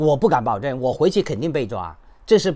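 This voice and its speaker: Vocal fry marks this man's fairly high voice, which moves at a moderate pace with very wide pitch swings. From China, Henan. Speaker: YouTuber and human rights activist; activist commentator. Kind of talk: commentary monologue. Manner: halting, many fillers. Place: home room. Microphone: phone near.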